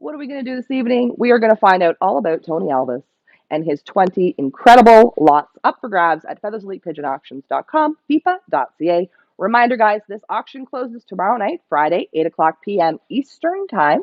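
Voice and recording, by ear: Talking at a fairly quick pace, a woman uses big pitch swings around a medium pitch, and the sound is dry and close with no echo.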